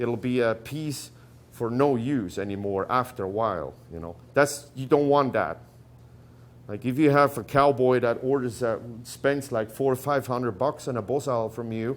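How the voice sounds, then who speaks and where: At a moderate pace, a man with a non-native accent talks at a medium pitch with ordinary pitch variation. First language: not English. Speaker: rawhide braider. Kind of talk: tutorial talk. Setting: workshop gathering with audience. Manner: halting.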